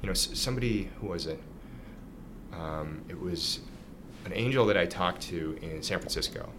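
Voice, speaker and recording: Amid noticeable background noise and audible room echo, a man with a Canadian accent speaks in a very deep, low voice with ordinary pitch variation and long, frequent pauses. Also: moderate pace. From Canada, Ottawa. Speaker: startup founder and CEO. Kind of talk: interview. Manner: hesitant with repetitions.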